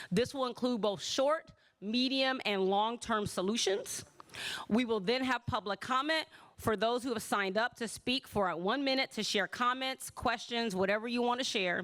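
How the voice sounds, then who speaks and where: Pitched fairly high, a woman talks with an American accent and ordinary pitch variation. Her loudness stays very even. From US Midwest, Chicago. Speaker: city councilmember. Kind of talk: town hall opening remarks. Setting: auditorium with audience. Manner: fast.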